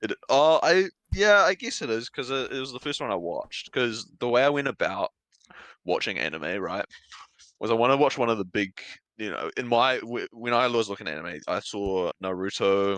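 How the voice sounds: A man speaks in a New Zealand accent with very wide pitch swings. The sound is dry and close with no echo against a quiet background. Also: medium pitch for a man, fairly quick pace.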